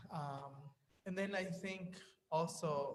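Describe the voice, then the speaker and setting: A man speaks with a Spanish accent. His voice is somewhat breathy. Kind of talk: panel discussion.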